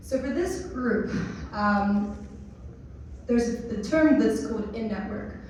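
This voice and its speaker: With audible room echo and noticeable background noise, a woman at a fairly high pitch uses lively intonation at a fairly slow pace, leaving long, frequent pauses. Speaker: tech product speaker. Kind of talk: conference talk.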